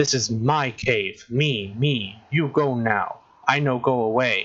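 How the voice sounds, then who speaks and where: A growling, put-on character voice. It moves at a fairly slow pace. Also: man, medium pitch for a man. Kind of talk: broken, simple speech. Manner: snarling, aggressive.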